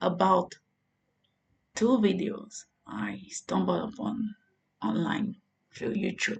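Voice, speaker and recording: A woman's very slow, vocal-fry delivery with a French accent. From Côte d'Ivoire. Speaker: religious vlogger. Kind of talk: vlog monologue. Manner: halting.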